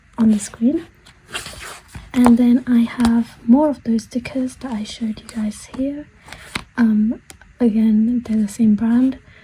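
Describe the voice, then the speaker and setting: Soft-spoken and flat, a woman speaks fairly slowly at a fairly high pitch in a monotone. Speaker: author and artist. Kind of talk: casual journal flip-through talk to camera. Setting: recording with low volume. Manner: quiet, soft-spoken.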